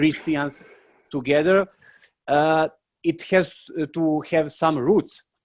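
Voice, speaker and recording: A man with a non-native accent, at a very slow pace, with fairly even intonation. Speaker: monastic novice. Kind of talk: panel question. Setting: video call. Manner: halting.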